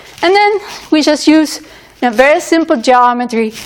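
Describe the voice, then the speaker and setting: Noticeable background noise sits behind a woman as she talks. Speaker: university lecturer. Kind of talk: lecture.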